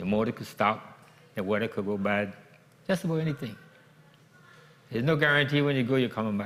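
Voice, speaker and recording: A man talks at a very fast pace with a Virgin Islands accent, his pitch medium and his intonation lively. Long, frequent pauses break up his speech. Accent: Crucian Virgin Islands Creole-tinged English. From US Virgin Islands, St. Croix (Gallows Bay). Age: 70s. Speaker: commercial fisherman. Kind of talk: interview.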